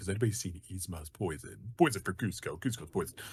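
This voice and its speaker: Putting on a character voice, a man rattles along at a very fast pace with a very deep, low pitch. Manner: dim-witted, cheerful.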